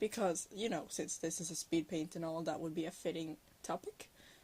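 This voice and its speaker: A woman speaks at a fairly quick pace with a Norwegian accent. Her fairly low voice is somewhat breathy. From Norway. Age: 19. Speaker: digital artist. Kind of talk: voiceover chat. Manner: halting, many filler words.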